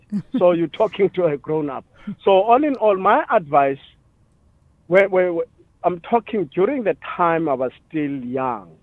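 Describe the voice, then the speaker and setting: A man speaks with a high pitch and lively intonation. He leaves long, frequent pauses. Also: fairly slow pace. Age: 60s. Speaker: caller. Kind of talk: phone-in call.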